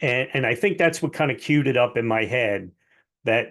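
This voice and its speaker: Here is a man with an unremarkable speaking voice at medium pitch. The background is quiet. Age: 60s. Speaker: mortgage lender and author. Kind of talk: interview.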